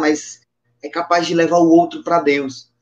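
A man's high voice at a moderate pace. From Brazilian Northeast, Patos, Paraíba. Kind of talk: religious testimony and teaching.

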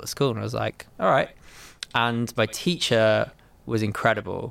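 Here a man talks with a southern English accent. He keeps a moderate pace. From England, Milton Keynes. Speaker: studio owner and drummer. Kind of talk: casual interview chat.

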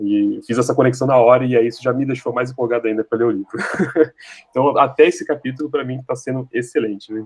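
This man talks at a very fast pace. His medium pitch follows a fairly even intonation. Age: 30s. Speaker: book club member. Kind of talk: casual chat.

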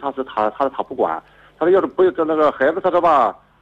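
A man talks at a very fast pace with a strong Shandong accent. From Shandong, China. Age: 50s. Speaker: radio call-in caller. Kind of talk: call-in advice conversation. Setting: phone call. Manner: halting.

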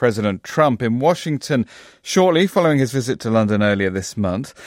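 A man's plain, everyday voice, fairly low in pitch, fairly quick, with lively intonation. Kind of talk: news reading. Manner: formal, measured broadcast delivery.

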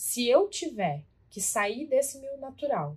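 A woman's voice comes across as somewhat breathy. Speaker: podcast co-host, weight-loss coach. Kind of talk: casual chat.

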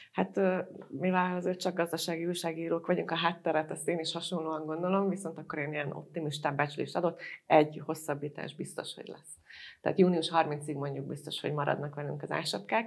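A woman with a very deep, low pitch and vocal fry talks at a fairly quick pace, with fairly even intonation and big swings in loudness. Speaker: podcast moderator, business journalist. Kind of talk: panel discussion.

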